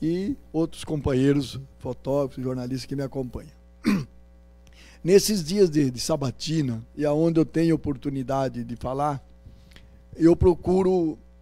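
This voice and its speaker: A man with a fairly high pitch and ordinary pitch variation speaks at a fairly slow pace with long, frequent pauses. His loudness swings widely, and music plays in the background. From Paraná, Brazil (Rolândia). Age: 60s. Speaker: politician, candidate. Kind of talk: campaign interview. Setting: university event with audience.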